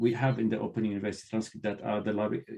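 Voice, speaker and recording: A medium-pitched male voice with a non-native accent. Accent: non-native English accent, clearly noticeable. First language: not English. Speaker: university librarian and trainer. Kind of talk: conference talk Q&A.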